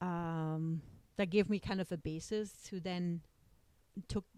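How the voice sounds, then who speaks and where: With a German accent, a woman speaks at a fairly low pitch in a dark, mellow tone with ordinary pitch variation. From East Germany. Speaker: lawyer, immigrant mother. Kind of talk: family interview. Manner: hesitant, many fillers.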